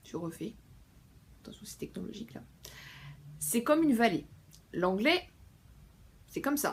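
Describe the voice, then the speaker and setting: With vocal fry and a fairly high pitch, a woman speaks at a moderate pace with long, frequent pauses, very wide pitch swings and big swings in loudness. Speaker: book vlogger. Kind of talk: casual vlog talk. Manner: hesitant with many fillers.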